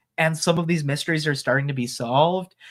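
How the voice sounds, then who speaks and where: A man speaks at a fairly high pitch on a very clean recording with a silent background. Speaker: streamer. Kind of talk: casual chat. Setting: live stream. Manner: loud and boisterous; animated.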